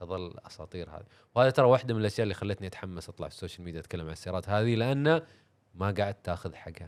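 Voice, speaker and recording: Using ordinary pitch variation, a man speaks with a fairly low pitch. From Saudi Arabia. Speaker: car content creator and racing driver. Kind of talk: casual podcast chat. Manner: animated.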